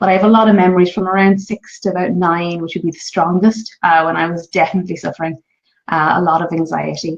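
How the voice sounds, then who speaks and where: A woman speaks at a very fast pace. Her voice is fairly low-pitched, with fairly even intonation. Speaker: parenting vlogger. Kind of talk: live stream talk. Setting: home, live stream. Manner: quiet voice; hesitant, many fillers.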